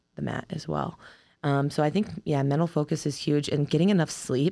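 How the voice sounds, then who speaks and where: In an American accent, a woman with a very deep, low pitch and vocal fry speaks with fairly even intonation on a very clean recording with a silent background. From Ohio, US Midwest. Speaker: wrestler. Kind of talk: interview.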